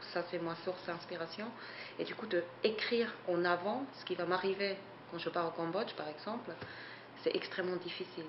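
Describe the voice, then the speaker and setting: A woman at a moderate pace with fairly even intonation and long, frequent pauses, against noticeable background noise. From Switzerland. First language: not French (speaking French). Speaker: photographer and artist. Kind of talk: interview. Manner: hesitant, many fillers.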